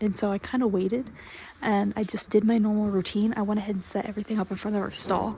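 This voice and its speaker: Quiet whispering at a fairly quick pace. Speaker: foaling attendant on a horse farm. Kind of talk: video vlog.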